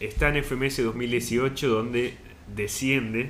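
Through audible room echo, a man with a medium pitch speaks at a very slow pace with fairly even intonation. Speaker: podcast co-host. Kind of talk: casual chat.

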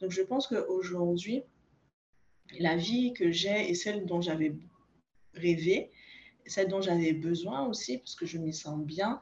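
The speaker talks at a very slow pace in a somewhat breathy voice, with long, frequent pauses. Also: woman, fairly low pitch for a woman, ordinary pitch variation. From Guadeloupe. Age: 30s. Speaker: naturopath. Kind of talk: interview.

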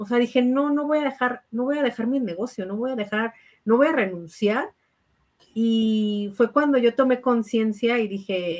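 A woman speaks with a Mexican accent. Her pace is fairly slow. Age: 30s. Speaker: architect and network marketing entrepreneur. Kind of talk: interview testimony.

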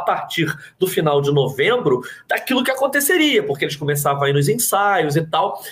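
Speaking at a moderate pace with a Carioca accent, a man's voice makes very wide pitch swings. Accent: carioca Brazilian Portuguese. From Rio de Janeiro, Zona Oeste (Jacarepaguá). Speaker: journalist and writer. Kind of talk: casual interview.

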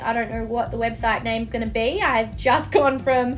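With an Australian accent, a woman speaks at a moderate pace amid noticeable background noise and audible room echo. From Australia, Melbourne. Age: 20s. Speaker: podcast host, life coach. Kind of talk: casual monologue. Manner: chatty, filler-heavy.

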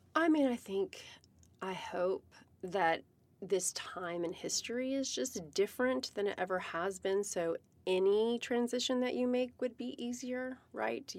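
A woman with an American accent speaks at a fairly slow pace in a normal speaking voice. Her pitch is fairly high and her intonation lively. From US South, Virginia. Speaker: cannabis business founder. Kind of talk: casual interview chat.

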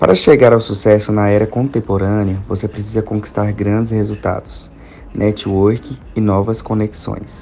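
At a moderate pace, a man speaks with a fairly low pitch and fairly even intonation against noticeable background noise. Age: 20s. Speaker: marketing agency owner. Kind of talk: interview.

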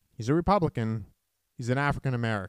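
This very clean recording of a man has a dry, close sound with no echo and a silent background. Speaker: college radio political talk show host. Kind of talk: radio talk show. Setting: radio studio.

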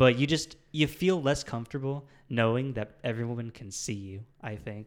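Speaking at a moderate pace in a normal speaking voice, a man keeps a medium pitch with ordinary pitch variation while his loudness swings widely. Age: 20s. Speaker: podcast co-host and college student. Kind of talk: casual chat.

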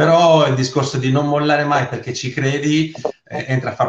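Somewhat breathy, a man talks fairly quickly at a medium pitch with fairly even intonation. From Sardinia. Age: 40s. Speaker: network marketing seller. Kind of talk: interview testimony. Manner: halting, repeats words.

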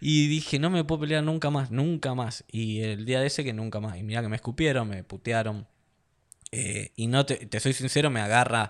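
A man with a normal speaking voice talks at a moderate pace and medium pitch, varying it in an ordinary way, on a very clean recording with a silent background. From Argentina. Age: 30s. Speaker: mixed martial arts fighter. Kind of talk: casual interview chat.

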